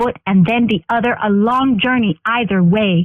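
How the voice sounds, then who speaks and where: This is an unremarkable speaking voice from a woman. Her fairly high pitch holds a fairly even intonation. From Northern Ontario, Canada. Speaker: spoken word poet. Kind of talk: spoken word poetry performance.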